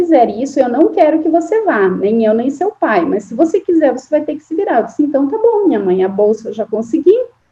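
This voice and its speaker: A woman with a strong southern Brazilian accent speaks at a fairly quick pace. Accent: strong southern Brazilian interior. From Santa Catarina interior, Brazil (near Paraná border). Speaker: forestry engineering professor. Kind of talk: interview.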